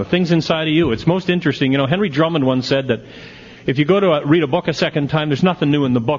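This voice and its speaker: A man talks in a fairly high pitch, and it varies in an ordinary way. Noticeable background noise is present. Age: 60s. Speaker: AA speaker. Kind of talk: recovery talk to a convention audience. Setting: stage with audience. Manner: animated.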